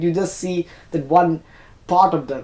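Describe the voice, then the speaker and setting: A man with a Tamil accent speaks at a moderate pace. His voice is high-pitched, with a dark, mellow tone. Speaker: YouTuber. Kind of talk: personal reflection monologue. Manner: halting, self-correcting.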